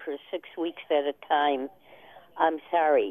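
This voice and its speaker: With an American accent, a woman talks at a very slow pace in fairly even intonation. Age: old. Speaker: caller. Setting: phone call.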